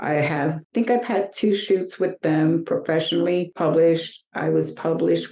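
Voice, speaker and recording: An ordinary speaking voice from a woman with an American accent, fairly low in pitch, at a moderate pace with ordinary pitch variation. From New York. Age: 60s. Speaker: fashion model. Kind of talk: interview.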